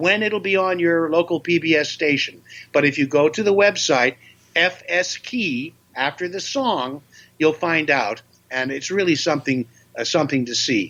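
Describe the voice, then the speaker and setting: This man's voice has a fairly high pitch and a bright, sharp tone. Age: 70s. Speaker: voice actor and comedian. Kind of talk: interview.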